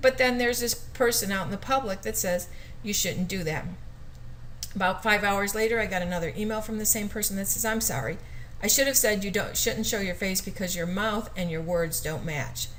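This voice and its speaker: Speaking at a fairly quick pace, a woman with a medium pitch, ordinary pitch variation and vocal fry is heard with audible room echo. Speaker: teacher. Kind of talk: educational video talk. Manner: fast.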